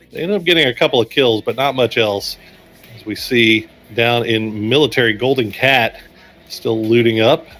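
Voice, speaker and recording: A man speaks with an American accent at a moderate pace and medium pitch. His pitch varies in an ordinary way, and his loudness swings widely. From Texas. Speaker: esports caster. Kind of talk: live commentary.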